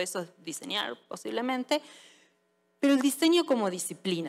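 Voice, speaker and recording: In a plain, everyday voice, a woman speaks at a moderate pace. Her intonation is lively. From Argentina. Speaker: service designer and conference speaker. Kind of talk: audience Q&A; conference talk. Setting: stage with audience. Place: stage. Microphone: headset.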